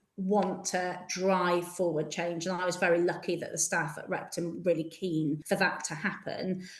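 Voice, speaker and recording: A woman's medium-pitched voice comes through with audible room echo and noticeable background noise. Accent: Yorkshire. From Yorkshire. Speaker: school headteacher. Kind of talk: interview.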